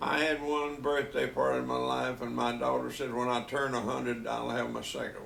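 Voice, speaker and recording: Over noticeable background noise and audible room echo, a man with a Southern US accent talks at a fairly quick pace with hardly any pauses. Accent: Southern US (Georgia). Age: 80s+. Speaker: grandfather telling life stories. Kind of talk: casual family interview.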